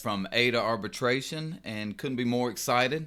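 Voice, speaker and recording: A man's bright, sharp-toned voice on a very clean recording with a silent background. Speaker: union representative. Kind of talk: casual podcast monologue.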